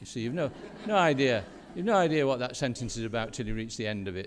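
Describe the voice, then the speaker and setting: A man speaks with a Yorkshire accent. His intonation is lively. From Yorkshire, northern England. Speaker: education professor. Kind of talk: conference keynote talk. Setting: stage with audience. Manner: halting, with repetitions.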